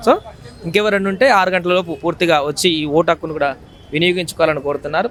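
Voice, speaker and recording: There is noticeable background noise behind this man's voice. He speaks at a high pitch with ordinary pitch variation. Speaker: news reporter. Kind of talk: live news reporting from a polling station.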